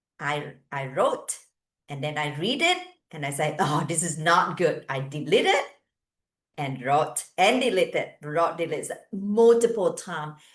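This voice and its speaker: A woman with a non-native accent speaks fairly slowly at a fairly low pitch, somewhat breathy, with lively intonation and big swings in loudness. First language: not English. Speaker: hairdresser and business coach. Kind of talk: online training talk. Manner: halting.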